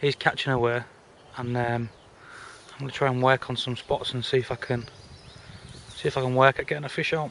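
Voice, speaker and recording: Over noticeable background noise, a man talks at a fairly quick pace in a monotone, flat intonation. He takes long, frequent pauses. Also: medium pitch for a man. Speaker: carp angler. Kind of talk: fishing vlog commentary. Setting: outdoors at a fishing lake. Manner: whispering.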